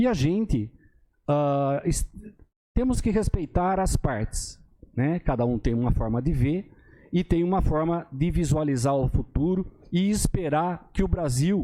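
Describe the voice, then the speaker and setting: A fairly high-pitched man's voice with a dark, mellow tone and lively intonation. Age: 60s. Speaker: city councillor. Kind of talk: council session speech. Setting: municipal council chamber. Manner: halting, with many fillers.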